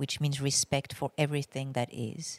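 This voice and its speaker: The speaker has a French accent. The recording is very clean with a silent background, and the sound is dry and close with no echo. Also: woman. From France. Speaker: astrologer and musician. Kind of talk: casual interview conversation.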